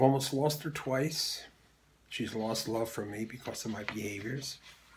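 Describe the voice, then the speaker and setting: At a moderate pace, a man with an American accent speaks in a medium pitch, somewhat breathy, with ordinary pitch variation. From Philadelphia, US. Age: 70s. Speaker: Air Force veteran. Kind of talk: testimony.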